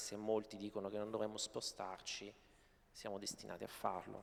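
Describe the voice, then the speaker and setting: Speaking at a moderate pace, a man delivers his words in a flat, monotone intonation. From Apulia, southern Italy. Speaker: novelist. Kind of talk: panel discussion. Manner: halting, many repetitions.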